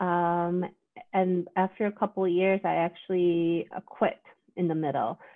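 A woman with a Korean accent, fairly low-pitched, speaking at a fairly slow pace with fairly even intonation and very even loudness. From South Korea. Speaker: psychiatrist. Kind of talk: casual chat.

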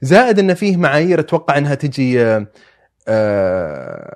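A man speaks with a fairly high pitch and very wide pitch swings. The background is quiet. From Saudi Arabia, Eastern Province with Najran roots. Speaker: anthropology student and writer. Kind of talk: casual conversational interview. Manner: halting, with repetitions and fillers.

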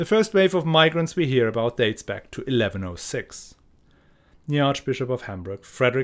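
This man has a plain, everyday voice at medium pitch. He speaks at a fairly quick pace with lively intonation. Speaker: podcast host, history narrator. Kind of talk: scripted history documentary narration, explanatory and lecture-like. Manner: measured, steady, formal, informative.

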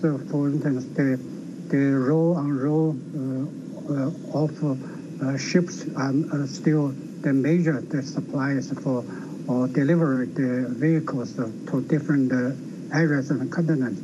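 A man speaks at a very slow pace in a fairly high pitch with fairly even intonation. Audible room echo and noticeable background noise fill the recording. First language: Chinese. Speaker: think tank researcher. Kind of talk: interview.

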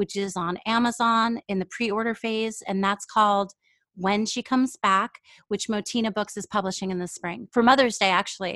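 A woman speaks in a normal speaking voice with an American accent, her pitch medium and her intonation fairly even. The pace is moderate, and the sound is dry and close with no echo against a quiet background. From New York. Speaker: writer and podcast host. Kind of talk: interview.

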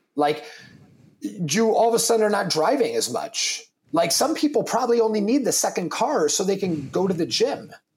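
Loud and high-pitched, a man talks at a moderate pace with very wide pitch swings. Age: 30s. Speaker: fitness entrepreneur and coffee company founder. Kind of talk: casual chat.

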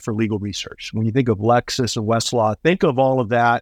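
A man with an American accent talks at a moderate pace in a medium pitch, using a normal speaking voice. The sound is dry and close, with no echo. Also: quiet background. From US Southwest, Tucson, Arizona. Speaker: trial attorney and mediator. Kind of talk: interview.

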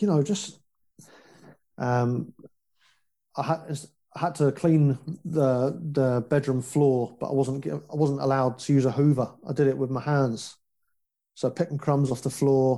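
Pausing long and often, a man with a fairly high voice, a dark, mellow tone and a southern English accent speaks with fairly even intonation. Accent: English (southern England). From West London, England. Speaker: foster care survivor sharing story. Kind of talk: casual interview, personal testimony.

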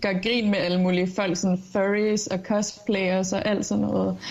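A woman talks at a fairly slow pace and medium pitch. Her intonation stays monotone and flat. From Jutland, Denmark. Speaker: part-time TikToker.

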